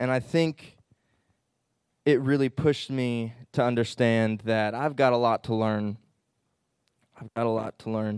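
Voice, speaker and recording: Dry, close sound with no echo from a man with an American accent, medium pitch, fairly even intonation and long, frequent pauses. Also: fairly slow pace. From Illinois (southern, St. Louis area). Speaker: Bible college student. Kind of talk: testimony.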